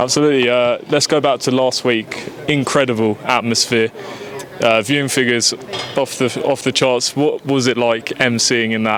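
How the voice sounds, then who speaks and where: A man's medium-pitched voice at a moderate pace, flat and monotone, with very even loudness and noticeable background noise. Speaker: boxing interviewer. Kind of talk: interview questions.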